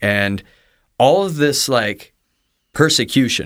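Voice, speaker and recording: The speaker is a man with an American accent. Very clean audio, no background sound at all. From US Midwest. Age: 30s. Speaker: pastor. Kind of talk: testimony. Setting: studio. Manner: talkative.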